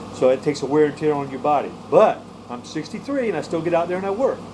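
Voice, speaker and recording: Very fast speech from a man, with noticeable background noise around him. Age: 60s. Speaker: prepper vlogger and tree cutter. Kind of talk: casual vlog monologue. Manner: halting, with many repeated words.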